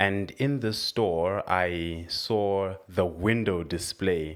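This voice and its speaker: The man's fairly low voice, with ordinary pitch variation, comes through on a very clean recording with a silent background. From Zimbabwe. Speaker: former fashion influencer. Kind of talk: testimony.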